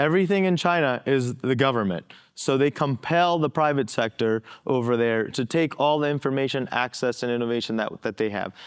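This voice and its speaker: A man at medium pitch with ordinary pitch variation and a fairly quick pace. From born in India, moved to the US at age ten. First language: an Indian language, not English. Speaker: federal counterintelligence agent. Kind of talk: conference panel discussion.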